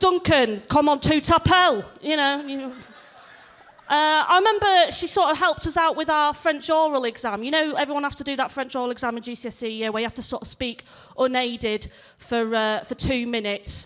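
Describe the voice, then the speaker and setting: A woman with a slight northern English accent speaks at a fairly quick pace, her high-pitched voice rising and falling with lively intonation. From northern England, near Leeds. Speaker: stand-up comedian. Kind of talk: stand-up. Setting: stage with audience. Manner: animated.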